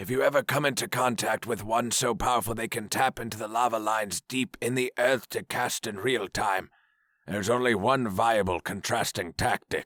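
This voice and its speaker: In a very clean recording with a silent background, a man uses a raspy, put-on character voice at a medium pitch. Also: moderate pace, ordinary pitch variation. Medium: read story. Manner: formal, commanding.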